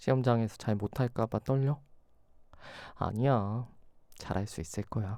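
A man speaks at a fairly slow pace and a medium pitch, with a dark, mellow tone, a warm, gentle tone, ordinary pitch variation and long, frequent pauses, in a dry, close sound with no echo on a very clean recording with a silent background. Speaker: ASMR roleplay creator. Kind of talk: ASMR roleplay. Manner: warm, reassuring, affectionate, with gentle laughs.

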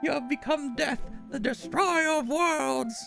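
A high-pitched put-on character voice moves at a fairly slow pace. Clear music plays in the background.

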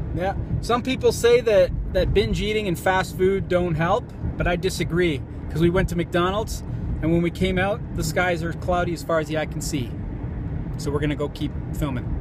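A man's high-pitched voice with ordinary pitch variation, a moderate pace and long, frequent pauses, dry with no echo but with noticeable background noise. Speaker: vlogger. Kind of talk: casual vlog chat. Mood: wry, mildly frustrated. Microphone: phone near.

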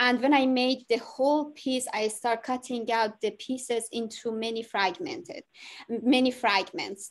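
A woman's high voice with ordinary pitch variation and a fairly slow pace, over a quiet background. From Iran. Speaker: artist, prize winner. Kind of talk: artist talk. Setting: video call. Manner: halting. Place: home room. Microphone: video call.

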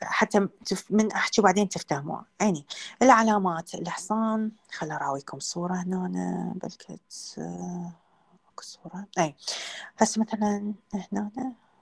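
With an Iraqi accent, a woman speaks at a fairly slow pace with long, frequent pauses, her voice somewhat breathy, her loudness swinging widely and her pitch varying in an ordinary way, over a quiet background. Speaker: veterinary lecturer. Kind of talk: lecture. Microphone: video call.

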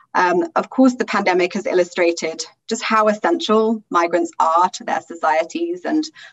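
A woman's pitch swings very widely as she speaks at a moderate pace. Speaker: migration policy research director, panel moderator; panel moderator. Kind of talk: moderated panel discussion. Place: home room. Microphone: webcam.

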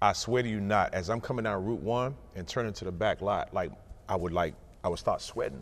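Fairly quick pace from a man at a fairly low pitch, ordinary pitch variation. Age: 40s. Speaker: college basketball coach. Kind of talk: casual chat. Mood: reminiscent, lightly humorous. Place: hall. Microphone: lapel.

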